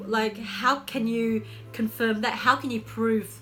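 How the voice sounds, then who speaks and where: A woman's fairly high voice at a fairly slow pace, over noticeable background noise. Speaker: lifestyle coach, vlogger. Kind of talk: casual advice vlog. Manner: animated; halting, repeats words.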